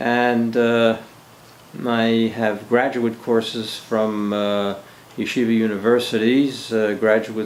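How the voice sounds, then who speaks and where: Over noticeable background noise and audible room echo, a man with a Philadelphia accent speaks in a flat monotone. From US Northeast, Philadelphia. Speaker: army veteran and retired teacher. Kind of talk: oral history interview. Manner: halting, with many fillers.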